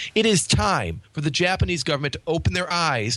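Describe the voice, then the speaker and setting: With a bright, sharp tone and vocal fry, a man speaks at a fairly quick pace with very wide pitch swings. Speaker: podcast host. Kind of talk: casual chat.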